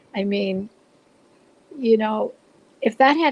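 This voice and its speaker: A woman's medium-pitched voice at a moderate pace, with ordinary pitch variation, in a dry, close sound with no echo despite noticeable background noise. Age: 70s. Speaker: blogger sharing spiritual stories. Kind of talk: interview storytelling.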